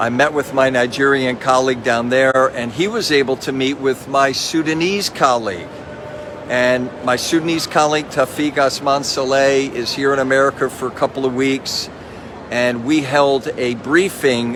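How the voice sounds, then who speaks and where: Noticeable background noise sits behind this recording. A man speaks at a medium pitch. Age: 70s. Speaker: pastor and missionary. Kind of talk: casual video update. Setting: train station. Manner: animated.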